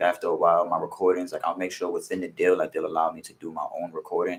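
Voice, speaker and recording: Talking at a very fast pace with a New York accent, a man swings widely in loudness. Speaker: music producer and rapper. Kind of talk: casual interview.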